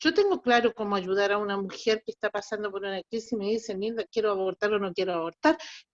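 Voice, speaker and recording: The recording sounds dry and close, without any echo. A woman does the talking. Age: 60s. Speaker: student. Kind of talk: question from audience. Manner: halting.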